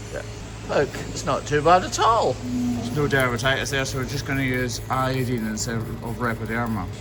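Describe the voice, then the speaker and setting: Music plays behind a man who talks at a moderate pace with hardly any pauses. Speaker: hoof trimmer. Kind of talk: casual work commentary.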